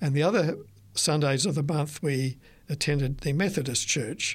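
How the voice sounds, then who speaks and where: A man with an Australian accent, fairly high-pitched, with ordinary pitch variation, on a very clean recording with a silent background. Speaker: retired author. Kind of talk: interview. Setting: studio. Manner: halting.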